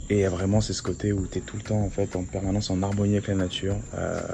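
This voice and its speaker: A man's fairly low voice at a fairly quick pace, with noticeable background noise. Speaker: travel vlogger. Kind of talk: travel vlog. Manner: soft-spoken.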